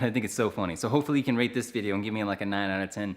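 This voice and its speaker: A man's fairly low voice, animated and very fast, on a very clean recording with a silent background. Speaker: vlogger. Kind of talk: casual vlog talk to camera.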